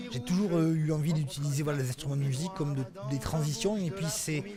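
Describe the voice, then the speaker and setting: Music plays in the background behind a man's voice. His pitch is fairly high, with ordinary pitch variation. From Occitania, southern France. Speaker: storyteller. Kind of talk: interview answer.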